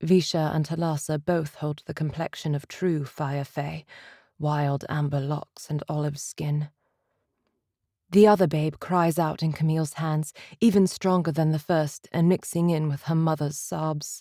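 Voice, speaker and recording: A woman speaks fairly slowly in a very deep, low voice with a dark, mellow tone and monotone, flat intonation. The recording is very clean and dry, close with no echo, over a silent background. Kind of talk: third-person narration in first-person voice.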